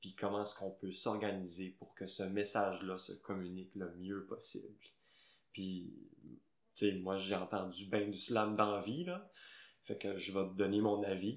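A man speaks at a fairly slow pace with a fairly low pitch. His intonation is monotone and flat, with big swings in loudness. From Quebec, Gaspésie. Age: 20s. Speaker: slam poet. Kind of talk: casual interview.

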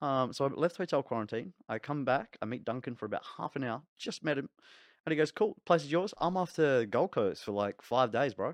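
Against a quiet background, a man with a New Zealand accent speaks fairly quickly at a fairly high pitch with lively intonation, the sound dry and close with no echo. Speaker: podcast co-host. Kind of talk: casual chat.

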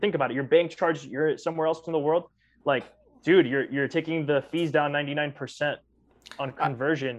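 This is an ordinary speaking voice, a man with a fairly high pitch talking at a fairly quick pace with fairly even intonation. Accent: American. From US. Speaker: podcast co-host. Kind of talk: casual chat.

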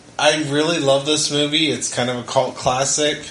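Over noticeable background noise, a man talks at a fairly slow pace with a fairly high pitch and fairly even intonation. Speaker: podcast host, father. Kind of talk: casual family movie review chat.

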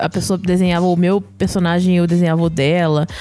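Someone talks at a fairly quick pace while music plays in the background. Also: woman. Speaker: podcast co-host. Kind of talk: casual chat.

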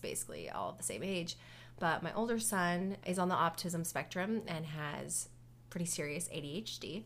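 A woman's fairly low, lively voice with vocal fry at a fairly slow pace. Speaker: podcast co-host, dental hygienist. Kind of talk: casual chat. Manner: loud.

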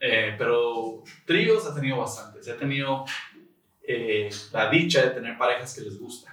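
A man speaks at a medium pitch and fairly slow pace with ordinary pitch variation. His loudness swings widely, and there is audible room echo. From Tijuana, Mexico. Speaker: podcast guest. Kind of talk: casual chat.

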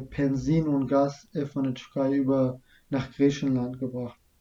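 Speaking at a very slow pace, a man with a non-native accent has a fairly high pitch and a dark, mellow tone. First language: not German (speaking German). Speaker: refugee telling his story. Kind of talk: interview about personal story.

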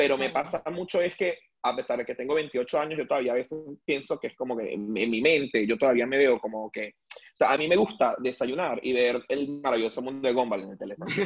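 A man with a plain, everyday voice speaks at a fairly quick pace and fairly high pitch, with ordinary pitch variation. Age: 20s. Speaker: wine sales worker. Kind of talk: casual chat.

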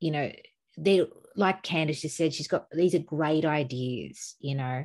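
A woman speaks at a fairly slow pace with a very deep, low pitch and fairly even intonation over a quiet background. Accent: Australian. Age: 40s. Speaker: podcast co-host. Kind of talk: casual chat.

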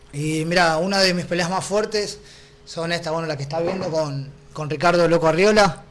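A man talks in a high pitch at a moderate pace, his intonation fairly even. Noticeable background noise and audible room echo fill the recording. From Argentina. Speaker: mixed martial arts fighter. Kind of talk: interview.

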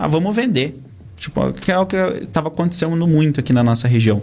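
The speaker is a man. Ordinary variation shows in his pitch. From Brazil, Castro, Paraná (rural). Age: 20s. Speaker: regional development group president. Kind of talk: interview. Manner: hesitant, many fillers.

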